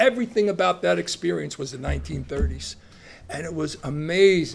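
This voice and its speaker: A man talks at a fairly quick pace with a New Jersey accent. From Long Branch, New Jersey. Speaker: retired educator and school administrator. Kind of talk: interview answer. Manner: casual storytelling.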